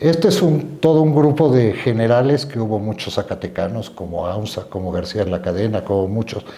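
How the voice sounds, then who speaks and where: With noticeable background noise behind him, a man speaks at a moderate pace in a medium pitch, using lively intonation and hardly any pauses. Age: 70s. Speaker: descendant of historical generals, storyteller. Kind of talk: interview, casual storytelling.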